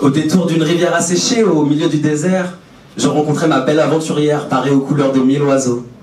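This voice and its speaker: Amid noticeable background noise and audible room echo, a man speaks fairly quickly at a fairly high pitch with fairly even intonation. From France, Brittany. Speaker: public speaker. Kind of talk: prepared stage talk. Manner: poetic.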